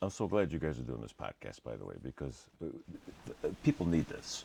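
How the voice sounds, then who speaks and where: This man's voice is very deep and low, with vocal fry. He talks at a fairly quick pace with big swings in loudness. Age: 60s. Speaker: podcast guest recovering from back surgery. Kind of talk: casual interview chat. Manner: halting with repetitions.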